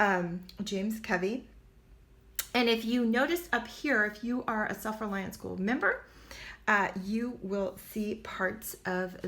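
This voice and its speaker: A woman speaks at a medium pitch with ordinary pitch variation. She has a plain, everyday voice. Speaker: online homesteading teacher. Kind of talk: product walkthrough.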